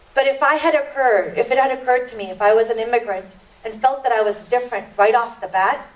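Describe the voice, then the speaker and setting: A woman's fairly high-pitched voice comes through over noticeable background noise. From Indian family background. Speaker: panel speaker and radio/TV show host. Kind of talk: panel talk. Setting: church hall with audience.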